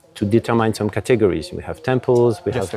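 Faint music plays behind a man with a fairly low pitch and ordinary pitch variation. He talks at a fairly quick pace in dry sound with no echo. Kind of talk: interview answer. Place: garden. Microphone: lapel.

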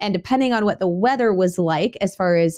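A woman with a dark, mellow tone, ordinary pitch variation and a moderate pace over a quiet background. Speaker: homestead podcast host. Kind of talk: podcast monologue. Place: home room. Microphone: studio mic.

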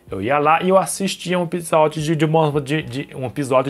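This man's voice is fairly high in pitch and shows ordinary pitch variation. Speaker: YouTuber. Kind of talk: personal vlog. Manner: halting.

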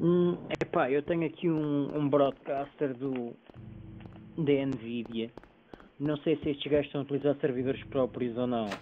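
Fairly even intonation from a man with a fairly high pitch, moderate pace, and long, frequent pauses. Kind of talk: casual chat while playing a game.

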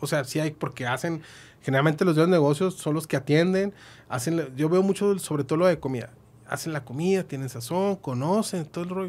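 A man's fairly high voice at a fairly quick pace, with ordinary pitch variation. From northern Mexico, Chihuahua. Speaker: accountant and business consultant; guest. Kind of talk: podcast interview; interview answer. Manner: hesitant, many fillers. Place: studio. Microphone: studio mic.

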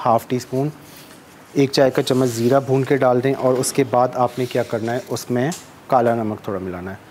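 Faint background noise sits behind a man whose tone is slightly mellow. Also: medium pitch for a man, fairly even intonation, moderate pace.

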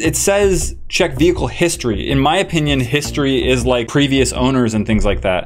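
A man's fairly quick delivery runs along with music playing behind him. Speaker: video host. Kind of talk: casual vlog chat. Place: studio. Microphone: studio mic.

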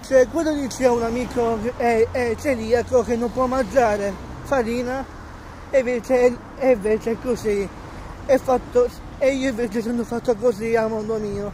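A man's extremely high-pitched voice at a fairly slow pace, fairly even intonation, long, frequent pauses, dry sound with no echo and light background noise. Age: 20s. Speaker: vlogger. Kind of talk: casual vlog. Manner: halting, many repetitions. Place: street. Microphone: phone near.

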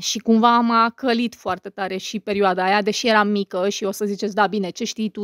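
In a very clean recording with a silent background, a woman at medium pitch talks at a fairly quick pace in a monotone, flat intonation, the sound dry and close with no echo. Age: 30s. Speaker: YouTuber and podcaster. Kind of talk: casual monologue to viewers.

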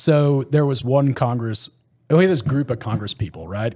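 Against a quiet background, a man with a Texan accent speaks fairly quickly in a dark, mellow tone with lively intonation. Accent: Texan American English. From Texas. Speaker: former special forces soldier; podcast guest. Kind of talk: casual interview chat. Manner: animated storyteller. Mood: relaxed, casual. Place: home room. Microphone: studio mic.

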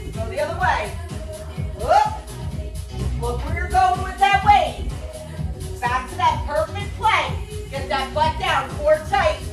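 A woman speaks at a very slow pace. Clear music plays in the background. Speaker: fitness instructor. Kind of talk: workout instruction. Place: gym. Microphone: camera far.

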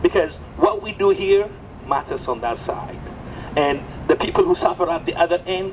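There is light background noise behind this voice. A man speaks at a moderate pace with an Ethiopian accent. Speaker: coffee entrepreneur and community organizer. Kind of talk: impassioned outdoor rally speech denouncing exploitation of coffee farmers. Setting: outdoors at a rally with crowd. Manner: fervent, moralizing, building to indignant repetition; halting, with frequent restarts and repeated words. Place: street.

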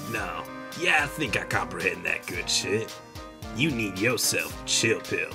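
With clear music in the background, a man does a put-on character voice at a moderate pace. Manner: slow, relaxed, drawling.

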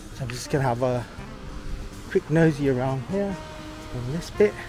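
Clear music plays in the background as a man speaks at a moderate pace. His voice has ordinary pitch variation and a dry sound with no echo. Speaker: travel vlogger. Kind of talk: casual vlog chat. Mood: relaxed, pleased. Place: street. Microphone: phone near.

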